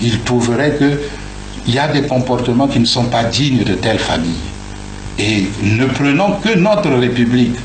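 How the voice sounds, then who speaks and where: The speaker uses lively intonation at a fairly slow pace, with long, frequent pauses and very even loudness, amid noticeable background noise and audible room echo. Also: man, medium pitch for a man. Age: 60s. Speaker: political figure interviewed. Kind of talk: radio interview testimony. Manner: halting, repeats words.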